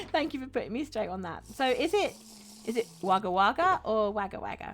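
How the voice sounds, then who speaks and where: Fairly high-pitched and swinging very widely in pitch, a woman speaks at a fairly quick pace in an English accent. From England. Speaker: streamer. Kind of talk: live stream chat while gaming. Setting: live stream. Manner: chatty, friendly.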